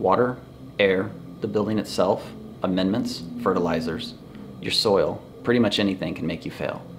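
There is light background noise as a man speaks at a moderate pace. He leaves long, frequent pauses, and his pitch varies in an ordinary way. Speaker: organic soil company owner. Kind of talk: scripted educational explainer read from teleprompter. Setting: indoors in a store, wind noise. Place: shop.

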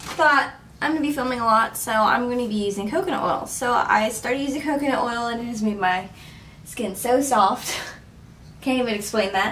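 A woman speaks in a high voice with ordinary pitch variation, with light noise in the background. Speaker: beauty vlogger. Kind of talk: casual vlog chat. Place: bathroom. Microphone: camera far.

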